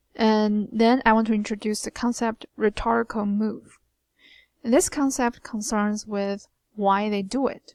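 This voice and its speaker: With a Chinese accent, this voice comes through dry and close with no echo, in a very clean recording over a silent background. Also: woman, fairly high pitch for a woman, fairly even intonation. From China. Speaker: writing instructor. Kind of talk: recorded lecture. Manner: hesitant, many fillers.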